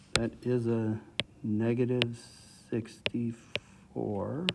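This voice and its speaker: Noticeable background noise runs beneath a man speaking at a medium pitch. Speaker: math teacher. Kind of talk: recorded lesson.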